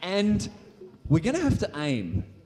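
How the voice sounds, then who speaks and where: With an Australian accent, a man speaks in an upbeat tone at a moderate pace, his pitch swinging very widely. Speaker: science show performer. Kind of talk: live science show for a school audience. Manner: high-energy, upbeat.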